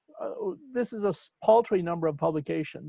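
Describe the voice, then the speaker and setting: A man's moderately paced speech has a dry sound with no echo. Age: 60s. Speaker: professor. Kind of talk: workshop discussion. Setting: video call. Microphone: video call.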